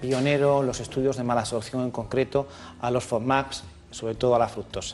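Words tumble out of a man very fast. His medium pitch holds a fairly even intonation. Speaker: allergist doctor. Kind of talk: medical explanation in interview.

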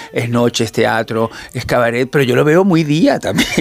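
A man's voice over noticeable background noise. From Venezuela. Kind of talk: casual chat.

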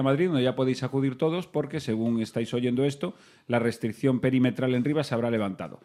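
Very fast speech from a man, ordinary pitch variation, medium pitch. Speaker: comedy podcast host. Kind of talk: comedic banter. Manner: animated.

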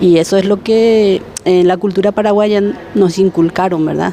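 Noticeable background noise sits under a woman speaking at a moderate pace with monotone, flat intonation. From Paraguay. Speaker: domestic worker and association president. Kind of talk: casual group interview. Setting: market, on location.

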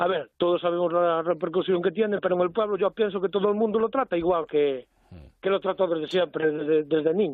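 The man's high voice moves at a fairly quick pace, its loudness very even and its pitch varying in an ordinary way. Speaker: friend from hometown. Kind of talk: casual chat.

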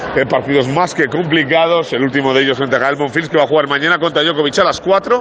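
Very fast speech with ordinary pitch variation over noticeable background noise. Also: man. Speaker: sports reporter. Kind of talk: live report. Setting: on location at tennis venue. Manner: hesitant, many fillers.

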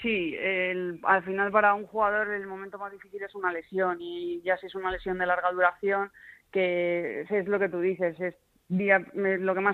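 The woman's intonation is monotone and flat. She speaks at a moderate pace and a medium pitch. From Spain, Madrid region. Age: 30s. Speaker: retired football goalkeeper. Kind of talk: interview.

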